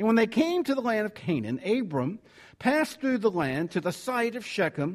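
A man speaks with a Southern US accent. His pitch is high. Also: very clean recording, silent background. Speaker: preacher. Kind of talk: sermon. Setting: church.

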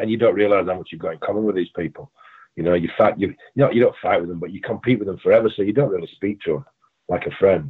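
A man speaks with an English accent at a fairly low pitch. His pace is very fast. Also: ordinary pitch variation. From England. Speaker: pro bodybuilder and wrestler. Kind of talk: casual interview chat.

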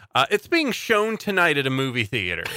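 A man's bright, sharp voice with very wide pitch swings, dry and close with no echo, on a very clean recording with a silent background. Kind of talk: casual chat.

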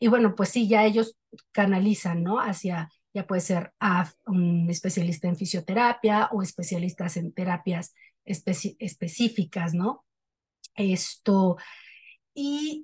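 A woman's somewhat breathy voice sits at a medium pitch with ordinary pitch variation. She speaks at a fairly slow pace. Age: 40s. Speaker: journalist. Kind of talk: casual chat.

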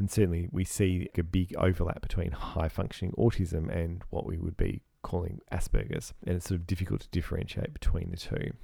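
A man speaks at a very deep, low pitch with vocal fry and a dark, mellow tone. His pitch varies in an ordinary way, and the recording is very clean with a silent background. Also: fairly quick pace, hardly any pauses. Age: 40s. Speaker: psychiatrist podcast co-host. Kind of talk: educational discussion.

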